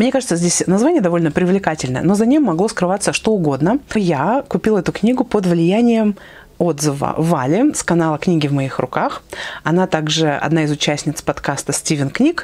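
A woman talks in a fairly low voice. Her pitch swings very widely. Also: moderate pace. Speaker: book blogger. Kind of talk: casual vlog chat. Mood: warm, lively. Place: home room. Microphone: lapel.

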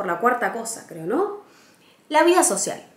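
Speaking with a Rioplatense accent, a woman uses very wide pitch swings amid audible room echo. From Argentina, Buenos Aires. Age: 20s. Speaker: travel vlogger. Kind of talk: casual vlog monologue.

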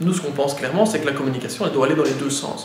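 Ordinary pitch variation marks this man's speech, heard with audible room echo and noticeable background noise. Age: 30s. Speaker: mayor. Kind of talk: interview. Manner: halting, many fillers and repetitions.

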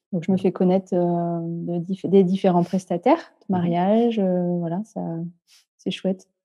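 Her intonation is monotone and flat. The woman speaks at a medium pitch and a fairly slow pace. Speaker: caller seeking spiritual guidance. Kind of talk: casual chat. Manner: halting.

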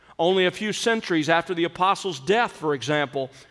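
A man's high-pitched voice with ordinary pitch variation against a quiet background. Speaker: preacher. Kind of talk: sermon. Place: church. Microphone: podium.

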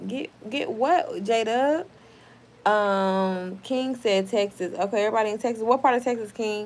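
This woman has an animated tone. Her pitch variation is ordinary. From Oklahoma. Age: 30s. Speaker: YouTuber. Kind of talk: casual livestream chat. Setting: home livestream. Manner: profane. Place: home room. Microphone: phone near.

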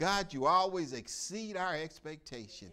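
With a bright, sharp tone, a man speaks at a fairly slow pace. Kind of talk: prayer. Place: church.

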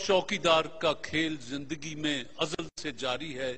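A man speaks with a Pakistani accent in a bright, sharp tone. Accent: Pakistani Urdu. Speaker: actor and TV host. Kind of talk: inspirational speech. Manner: eloquent, oratorical. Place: studio.

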